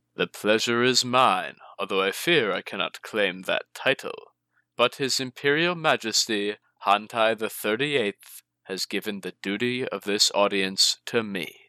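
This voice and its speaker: Putting on a character voice, a man speaks resonantly at medium pitch and a moderate pace on a very clean recording with a silent background. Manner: smooth, falsely warm.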